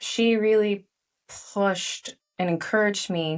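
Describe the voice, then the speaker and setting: A woman is heard on a very clean recording with a silent background. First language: Chinese. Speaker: author and leadership coach. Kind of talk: podcast interview. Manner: animated.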